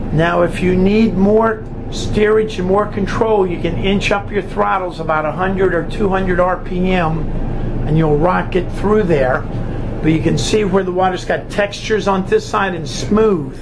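A man with a high pitch and fairly even intonation, at a fairly slow pace over noticeable background noise. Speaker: boat captain instructor. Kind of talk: instructions. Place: boat.

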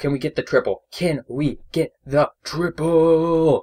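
Using a put-on character voice, a man speaks at a fairly high pitch and a fairly slow pace. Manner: hyped, awesome commentator voice.

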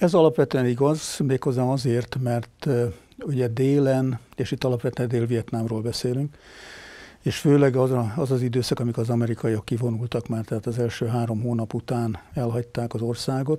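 Against a quiet background, a man speaks with a dark, mellow tone and fairly even intonation. His pace is moderate, and the sound is dry with no echo. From Hungary. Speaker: retired army general. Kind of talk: interview. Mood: calm, reflective. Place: studio. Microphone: lapel.

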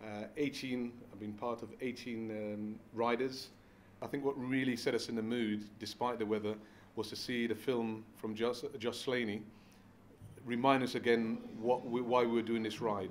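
A man speaks in a monotone, flat way at a fairly slow pace, with long, frequent pauses and light background noise. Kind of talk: interview answer. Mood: warm, reflective. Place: home room.

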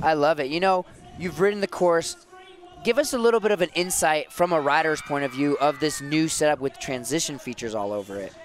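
Over music in the background, a man speaks at a fairly quick pace with lively intonation and big swings in loudness, in a dry sound with no echo. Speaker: snowboarding commentator. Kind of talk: live sports commentary, calling runs trick by trick in an analytical tone. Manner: animated, fluent, expert. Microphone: headset.

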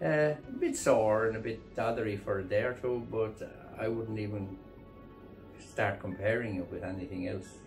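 Over clear background music, the speech moves at a moderate pace with fairly even intonation. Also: man, fairly low pitch for a man. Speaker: farmer. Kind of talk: interview answer. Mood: content, relieved.

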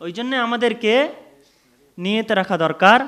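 His intonation is lively as this man talks. No background sound intrudes on the very clean recording. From India. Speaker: Islamic preacher. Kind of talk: sermon.

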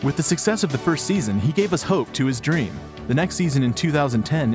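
A man at a medium pitch swings very widely in pitch while his loudness stays very even, with music playing in the background. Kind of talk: sports documentary narration.

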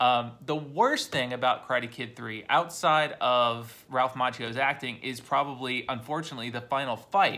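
A man of medium pitch speaks at a moderate pace with hardly any pauses, fairly even intonation and a bright, sharp tone. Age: 40s. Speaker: YouTuber reviewing movies. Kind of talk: casual monologue. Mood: relaxed, opinionated. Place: home room. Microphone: phone near.

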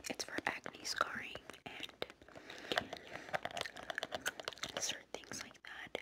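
A woman whispers at a very slow pace, her voice soft-spoken. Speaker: beauty vlogger. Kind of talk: casual vlog chat. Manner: soft ASMR whisper, chewing gum. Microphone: phone near.

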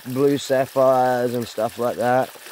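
The voice has an Australian accent. The sound is dry with no echo and light background noise. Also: man. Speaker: gold prospecting vlogger. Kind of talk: casual vlog narration. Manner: halting, many fillers. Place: waterside. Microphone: phone near.

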